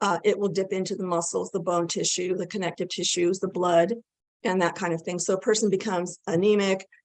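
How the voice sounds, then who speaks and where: An ordinary speaking voice at a fairly quick pace, with fairly even intonation. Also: woman. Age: 60s. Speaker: nutrition expert. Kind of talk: interview.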